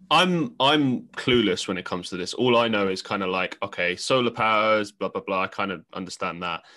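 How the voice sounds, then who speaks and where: In a London accent, a man with a fairly low pitch and a bright, sharp tone speaks at a fairly quick pace with hardly any pauses. His intonation is lively, and the background is quiet. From London, England. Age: 20s. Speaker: podcast host. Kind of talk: casual interview chat.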